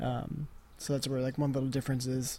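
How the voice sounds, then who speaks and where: A somewhat breathy voice at a very fast pace. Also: man. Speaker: podcast host. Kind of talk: casual chat.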